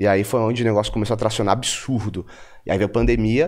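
Speaking fairly quickly, a man is heard against a quiet background. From Bahia, Brazil (Feira de Santana), born in São Paulo. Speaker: entrepreneur and investor. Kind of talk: interview conversation. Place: studio. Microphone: studio mic.

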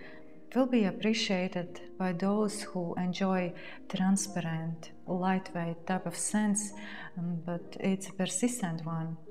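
Over clear background music, a soft-spoken woman with a calm tone and a fairly low pitch speaks at a very slow pace with fairly even intonation. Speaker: fragrance reviewer. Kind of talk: perfume review talking to camera. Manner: soft-spoken, calm. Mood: warm, relaxed. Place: home room.

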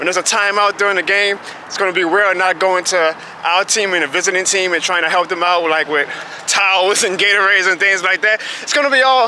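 A raised, projected voice moves at a very fast pace with fairly even intonation, the sound dry with no echo and light background noise behind it. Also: man. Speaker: vlogger. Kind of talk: casual vlog chat. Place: street. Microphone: phone near.

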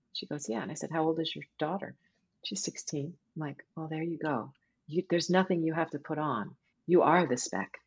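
A woman speaks at a moderate pace with an American accent. Her pitch is very deep and low. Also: ordinary pitch variation. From California. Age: 50s. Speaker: voice actor. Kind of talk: interview conversation. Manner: animated, laughs often.

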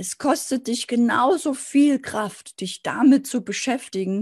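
A woman at a very slow pace with lively intonation. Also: quiet background. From East Germany, Dresden (Saxony); Saxony. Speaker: sales and business coach; sales, business coach. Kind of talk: motivational video talk to camera. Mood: warm, encouraging. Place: office. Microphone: webcam.

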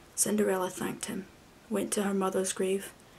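Speech comes at a moderate pace. Light background noise is present. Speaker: storyteller. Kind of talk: reading a story aloud. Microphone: webcam.

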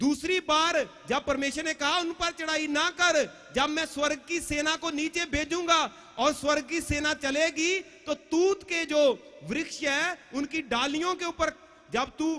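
A man projects his voice, speaking at a fairly slow pace. His pitch is extremely high. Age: 40s. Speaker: pastor; preacher. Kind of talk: sermon. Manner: animated. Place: tent. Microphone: handheld.

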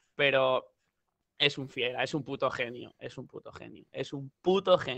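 Against a quiet background, a man speaks with big swings in loudness. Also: fairly slow pace, dry sound with no echo. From Spain. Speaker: rapper; interview guest. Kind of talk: casual chat. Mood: relaxed, joking. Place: home room. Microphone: headset.

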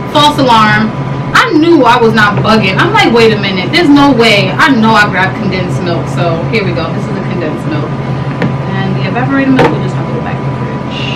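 A woman talking at a fairly quick pace over loud background noise. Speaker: food vlogger. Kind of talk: casual vlog chat. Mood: skeptical, amused, blunt. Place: home room.

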